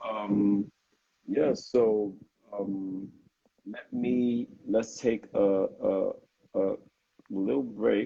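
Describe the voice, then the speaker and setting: With a Nigerian accent, a man talks in big swings of loudness, broken by long, frequent pauses. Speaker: interviewer. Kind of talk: interview. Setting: Instagram live video stream. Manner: hesitant, many fillers.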